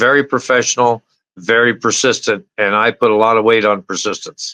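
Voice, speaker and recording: A man's medium-pitched voice with an American accent, a bright, sharp tone, very even loudness, fairly even intonation and a moderate pace. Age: 60s. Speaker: military veteran. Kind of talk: testimonial interview.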